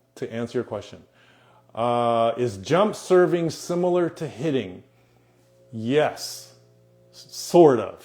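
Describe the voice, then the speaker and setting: A man talks at a very slow pace with long, frequent pauses, his medium-pitched voice lively in intonation and making big swings in loudness. Music plays in the background. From United States, Japanese family. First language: Japanese. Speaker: volleyball coach. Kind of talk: live Q&A stream. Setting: Instagram live stream.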